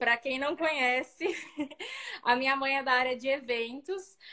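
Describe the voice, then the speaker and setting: A raised, projected voice moves at a moderate pace with fairly even intonation. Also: woman. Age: 30s. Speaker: fashion designer and event rental business owner. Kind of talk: interview on a live video stream.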